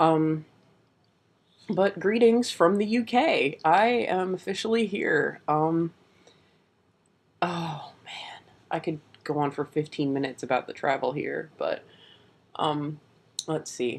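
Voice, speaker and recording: Soft-spoken and very slow, the voice leaves long, frequent pauses. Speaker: vlogger. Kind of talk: casual vlog. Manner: speaking softly.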